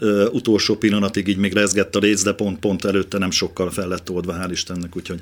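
The speaker talks at a very fast pace in a monotone, flat intonation. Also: man, fairly low pitch for a man. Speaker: bass guitarist and festival organizer. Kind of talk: radio interview.

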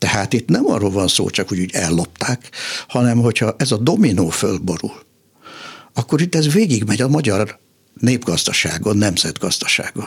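A man talks in a normal speaking voice, fairly low in pitch, with lively intonation. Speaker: political scientist and economist. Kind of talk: radio interview.

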